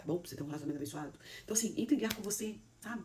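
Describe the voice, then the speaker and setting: A woman talks at a very fast pace with lively intonation and an animated tone. Audible echo fills the room. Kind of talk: motivational sermon talk.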